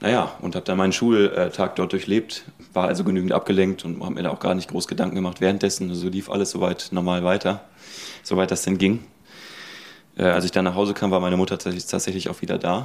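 Here a man talks at a very fast pace. His very deep, low voice stays monotone and flat. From Ruhr area, North Rhine-Westphalia. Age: 20s. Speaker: university student. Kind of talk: personal testimony.

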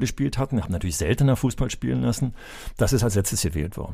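A man with a medium pitch and a dark, mellow tone speaks with vocal fry. His pitch swings very widely, captured in a very clean recording with a silent background. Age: 60s. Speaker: retired school principal and former sports teacher. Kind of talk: casual chat.

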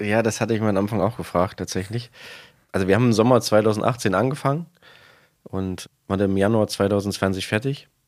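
A man's fairly low voice at a moderate pace, with fairly even intonation, in a very clean recording against a silent background. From eastern Germany. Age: 30s. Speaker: supermarket manager. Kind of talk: interview.

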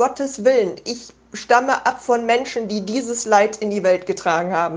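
Her pitch sits fairly high for a woman. She talks at a moderate pace. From Germany. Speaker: listener sending voice message. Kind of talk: personal testimony. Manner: halting.

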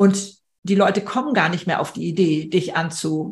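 A woman speaks at a fairly slow pace. Her medium-pitched voice is somewhat breathy. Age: 70s. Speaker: speaker and podcaster. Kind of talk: online panel conversation.

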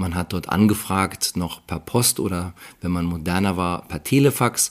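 The speaker is a man. His pitch is very deep and low. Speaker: IT company founder and CEO. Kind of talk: interview.

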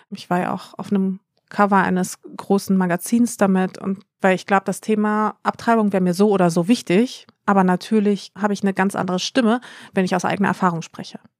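A woman's medium-pitched, monotone, flat voice at a fairly quick pace, on a very clean recording with a silent background and a dry, close sound with no echo. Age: 30s. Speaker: influencer. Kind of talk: casual chat.

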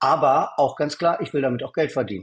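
Here a man speaks at a fairly high pitch with ordinary pitch variation. His voice is somewhat breathy. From East Berlin, Germany. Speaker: angel investor and entrepreneur. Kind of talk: interview.

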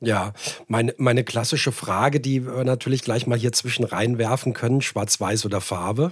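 Somewhat breathy and at medium pitch, a man speaks at a moderate pace with very even loudness and fairly even intonation. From Hesse, Frankfurt area, Germany. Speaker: podcast host. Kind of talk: casual interview.

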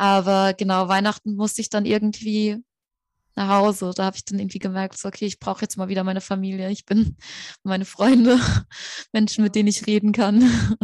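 Speaking at a fairly quick pace, a woman with a medium pitch keeps a monotone, flat intonation. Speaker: student and podcaster. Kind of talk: interview.

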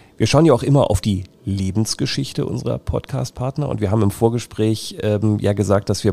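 Against noticeable background noise, a man talks at a very fast pace in a fairly low pitch with ordinary pitch variation. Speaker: podcast host. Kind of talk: interview. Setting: on location at a company.

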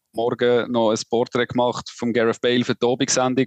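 Recorded with a dry, close sound and no echo, a man has a normal speaking voice, speaking at a moderate pace in a medium pitch. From Switzerland. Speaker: sports journalist. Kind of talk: casual chat.

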